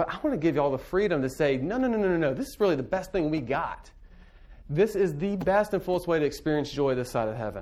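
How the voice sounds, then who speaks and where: A man with a high pitch speaks at a very fast pace with lively intonation. Audible room echo surrounds his voice. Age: 30s. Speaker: pastor. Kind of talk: lecture.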